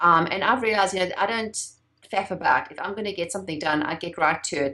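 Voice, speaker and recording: Speaking very fast in a South African accent, a woman has a bright, sharp tone, medium pitch and ordinary pitch variation. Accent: foreign-sounding in the US, South African. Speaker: entrepreneur and branding expert. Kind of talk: interview.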